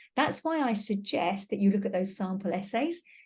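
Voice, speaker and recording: A woman with a British accent, somewhat breathy, medium in pitch and fairly quick in pace, against a quiet background. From Britain. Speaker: teacher. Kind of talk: webinar lecture. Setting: online webinar.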